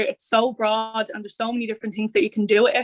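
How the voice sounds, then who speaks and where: Recorded in a dry, close sound with no echo, a woman with a Dublin accent speaks at a fairly high pitch with fairly even intonation. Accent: Dublin inner-city Irish. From Ireland, Dublin north inner city. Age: 20s. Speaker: youth and community worker. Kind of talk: interview monologue.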